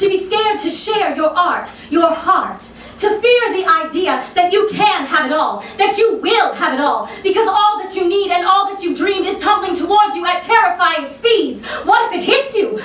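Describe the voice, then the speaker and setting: Extremely high in pitch, a woman talks at a moderate pace with hardly any pauses and ordinary pitch variation. Noticeable background noise sits behind her. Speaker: stage actress and poet. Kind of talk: spoken word poetry performance. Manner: impromptu.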